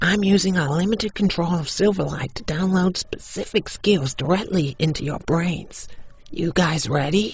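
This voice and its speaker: The voice is a put-on character voice at a middle pitch. Its pace is moderate. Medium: audio drama.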